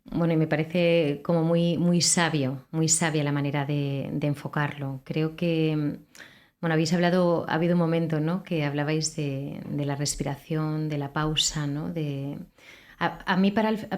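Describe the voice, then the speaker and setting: A woman with a very deep, low pitch talks at a fairly slow pace, keeping her intonation fairly even. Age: 40s. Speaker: radio host. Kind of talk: interview.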